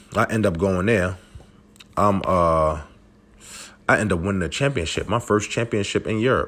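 An animated man with a fairly low pitch, ordinary pitch variation and a fairly quick pace, on a very clean recording with a silent background. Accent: Brooklyn. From Brooklyn, New York. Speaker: former professional basketball player, podcast host. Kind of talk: casual monologue, personal story.

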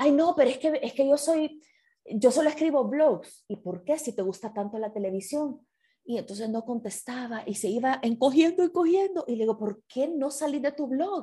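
Her high-pitched voice has a dark, mellow tone and lively intonation at a moderate pace. The woman is heard against a quiet background. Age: 40s. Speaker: writer and broadcaster. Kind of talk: casual chat. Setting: video call.

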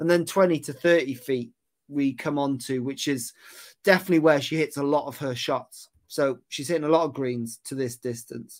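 In a very clean recording with a silent background, a man with a Welsh accent speaks at a moderate pace, his pitch fairly high with ordinary variation. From West Wales. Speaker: golf putting coach. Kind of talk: casual chat.

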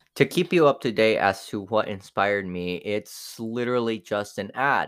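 Fairly slow delivery with ordinary pitch variation, on a very clean recording with a silent background. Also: man. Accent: Spanish. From Mexico. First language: Spanish. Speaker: podcaster. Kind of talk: casual monologue taste-test review. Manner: rambling, many fillers and self-corrections.

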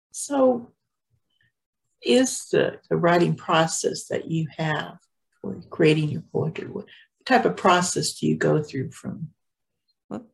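A woman at a very slow pace, with long, frequent pauses and big swings in loudness. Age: 60s. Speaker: podcast host. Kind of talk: casual chat. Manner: halting.

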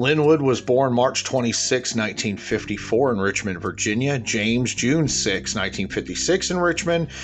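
Very slow speech with hardly any pauses, set against music in the background. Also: man, medium pitch for a man. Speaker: true crime podcaster. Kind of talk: true-crime narration, reading case facts aloud in a flat, matter-of-fact report style; casual personal update to listeners. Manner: somewhat halting, with filler 'uh' and 'um'.

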